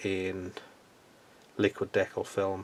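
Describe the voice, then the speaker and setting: Spoken in an Irish accent, the delivery is relaxed in tone and very slow. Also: man. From Ireland. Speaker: scale model hobbyist YouTuber. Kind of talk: casual video update. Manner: relaxed with many hesitations.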